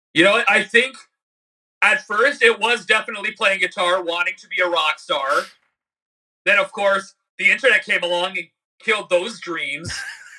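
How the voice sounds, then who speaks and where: A man's raised, projected voice, high in pitch with a bright, sharp tone, ordinary pitch variation, big swings in loudness and long, frequent pauses. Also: moderate pace. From Canada, Niagara area. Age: 30s. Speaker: YouTube musician and comedian. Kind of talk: casual interview chat.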